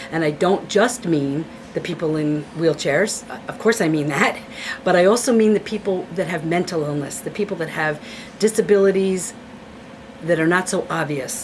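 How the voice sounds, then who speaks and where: With an American accent, a woman speaks at a fairly low pitch over noticeable background noise. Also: ordinary pitch variation. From Hudson Valley, New York. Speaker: retired teacher and author. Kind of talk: personal testimony interview. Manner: fast; animated.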